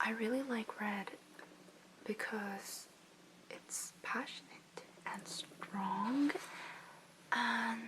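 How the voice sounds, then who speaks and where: A woman whispers very slowly, pausing often and at length, with noticeable background noise behind her. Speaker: ASMR content creator. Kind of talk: ASMR language lesson, soft-spoken word repetition. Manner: soft-spoken, whispered, up-close.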